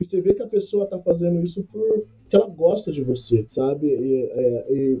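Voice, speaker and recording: Talking at a moderate pace, a man keeps a high pitch with ordinary pitch variation. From Brazil, Campinas (São Paulo state). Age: 20s. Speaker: civil engineer. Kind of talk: casual chat.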